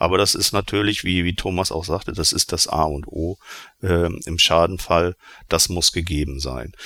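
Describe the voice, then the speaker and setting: A man's very deep, low voice with vocal fry and a bright, sharp tone, at a moderate pace with ordinary pitch variation, in a very clean recording with a silent background. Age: 50s. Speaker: insurance association department head. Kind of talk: panel discussion.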